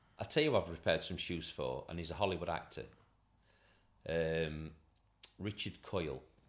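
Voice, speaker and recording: Using vocal fry and ordinary pitch variation, a man with a very deep, low voice speaks at a moderate pace with long, frequent pauses. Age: 50s. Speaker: shoe repairer and business owner. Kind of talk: casual interview.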